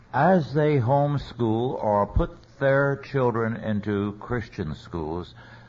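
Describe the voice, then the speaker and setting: A man with an American accent talks at a very slow pace and a medium pitch. His pitch varies in an ordinary way, and room echo is audible. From US West, central California. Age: 80s+. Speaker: theologian and lecturer. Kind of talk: lecture.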